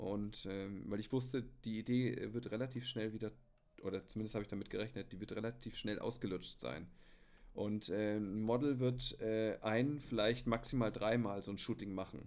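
A man's unremarkable speaking voice, fairly low in pitch, at a moderate pace with fairly even intonation. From Bavaria (Munich). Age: 30s. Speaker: hobby photographer. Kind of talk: casual chat. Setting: remote call.

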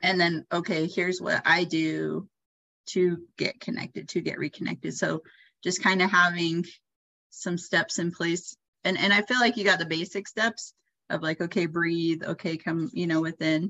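A woman uses a plain, everyday voice, fairly low in pitch and fairly even in intonation, at a moderate pace. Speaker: psychic coach podcast host. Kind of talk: intro and outro, then casual coaching talk. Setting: coaching call with poor audio, no microphone.

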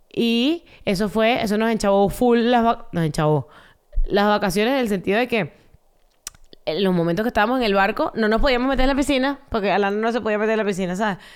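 A woman at a fairly quick pace, with very even loudness and ordinary pitch variation. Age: 20s. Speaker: podcast co-host. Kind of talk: casual chat.

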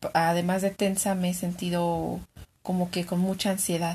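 With a Mexican accent, a woman speaks at a fairly low pitch in a somewhat breathy voice. Her delivery is fairly slow, with monotone, flat intonation, and the background is quiet. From Mexico. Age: 20s. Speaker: client in a practice psychology interview. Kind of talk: therapy intake interview.

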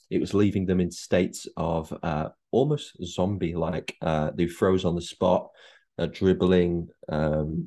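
With a Mancunian accent, this voice has a dark, mellow tone and ordinary pitch variation, moving at a fairly slow pace over a quiet background. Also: man. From Manchester (Chorlton), northern England. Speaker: actor. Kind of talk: casual chat.

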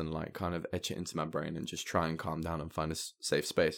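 The recording is very clean and the background silent. A man talks throughout. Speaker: musician. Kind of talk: casual chat. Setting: studio.

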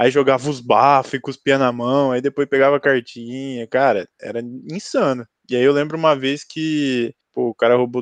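A man with a plain, everyday voice speaks at a medium pitch with fairly even intonation, the sound dry and close with no echo. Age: 20s. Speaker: podcast co-host, journalism student. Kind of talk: casual chat.

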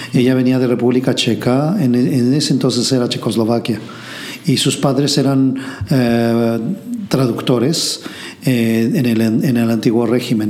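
Over noticeable background noise and audible room echo, a man speaks at a moderate pace and medium pitch with fairly even intonation. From Mexico City. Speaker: entrepreneur, translation company founder. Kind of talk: interview. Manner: halting.

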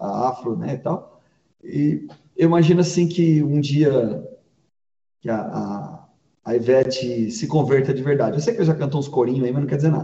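Somewhat breathy, a man talks at a moderate pace and a medium pitch, with ordinary pitch variation. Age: 40s. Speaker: pastor. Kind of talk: casual chat.

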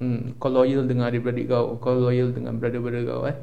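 A man of medium pitch at a fairly quick pace, with audible room echo. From Singapore, Tampines. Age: 20s. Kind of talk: casual chat.

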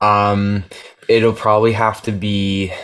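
In a very clean recording with a silent background, a man speaks in a fairly low voice with a Canadian accent. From Canada. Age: 20s. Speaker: musician. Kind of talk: interview. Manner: chatty, many fillers.

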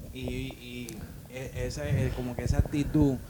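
A man talks fairly slowly, with background noise clearly audible. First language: English (speaking Spanish). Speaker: co-worker guest. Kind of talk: casual chat.

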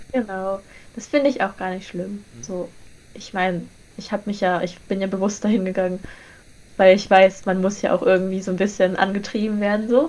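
This woman's voice sits at a medium pitch with ordinary pitch variation, broken by long, frequent pauses. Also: fairly quick pace, big swings in loudness. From northern Germany, Lüneburg. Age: young. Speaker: podcast co-host, university student. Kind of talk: casual chat.

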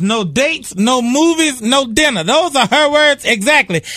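Against a quiet background, a man projects a raised voice with a bright, sharp, playful tone and lively intonation. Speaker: radio co-host. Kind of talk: radio DJ patter. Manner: playful, laughing, joking banter.

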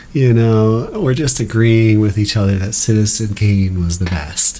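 Audible room echo and noticeable background noise surround a man of medium pitch talking at a fairly slow pace. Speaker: podcast host and stand-up comedian. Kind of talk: casual chat.

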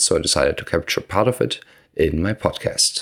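Vocal fry runs through this voice. The man's delivery is fairly quick. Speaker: podcast host. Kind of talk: interview.

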